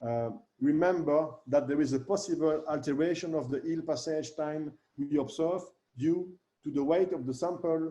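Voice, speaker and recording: A man's fairly high-pitched voice, dark and mellow in tone, at a moderate pace. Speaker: researcher presenting. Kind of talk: webinar presentation. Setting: online webinar. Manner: halting.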